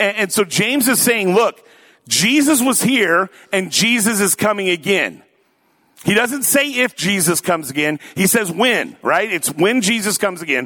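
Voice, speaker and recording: A man with an American accent speaks in a raised, projected voice at high pitch. His pace is moderate and his loudness very even. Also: lively intonation. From US Pacific Northwest (Tacoma, Washington). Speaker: pastor. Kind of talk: sermon. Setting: church.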